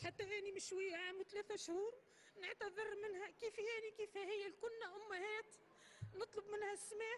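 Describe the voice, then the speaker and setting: In a Tunisian accent, a woman talks at a fairly slow pace with an extremely high pitch, monotone, flat intonation and very even loudness. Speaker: mother of a fighter. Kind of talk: public testimony and apology.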